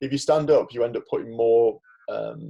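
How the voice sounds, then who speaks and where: A man is speaking. He has a Liverpool accent. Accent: Liverpool (Scouse). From Merseyside, northern England. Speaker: dentist and former physiotherapist. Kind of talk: podcast interview. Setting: remote call.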